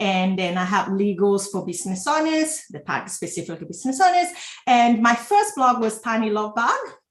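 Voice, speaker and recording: A woman with a slight Italian accent, a fairly high pitch and very wide pitch swings, at a fairly quick pace. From Italy. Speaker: entrepreneur and former lawyer. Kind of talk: interview. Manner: halting, many fillers.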